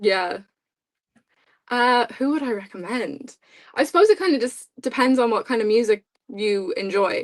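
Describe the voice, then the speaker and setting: In an Irish accent, a woman speaks at a high pitch with lively intonation. Her pace is moderate, broken by long, frequent pauses. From Ireland. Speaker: podcast co-host. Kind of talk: casual chat.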